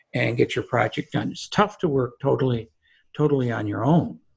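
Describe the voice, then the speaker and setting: A man talks in a somewhat breathy voice whose pitch rises and falls in an ordinary way. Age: 70s. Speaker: real estate securities lawyer. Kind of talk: podcast interview. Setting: video call. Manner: halting.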